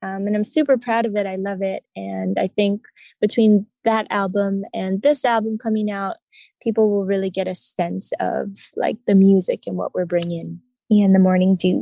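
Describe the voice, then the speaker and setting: Speaking with an American accent at a moderate pace, a woman uses fairly even intonation at medium pitch, her tone dark and mellow in a dry, close sound with no echo. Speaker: singer-songwriter. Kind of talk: interview. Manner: calm, low-key.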